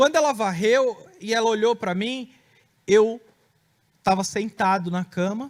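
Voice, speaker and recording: With long, frequent pauses, a man speaks at a high pitch and a fairly slow pace, using ordinary pitch variation. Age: 30s. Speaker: preacher giving testimony. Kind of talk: testimony.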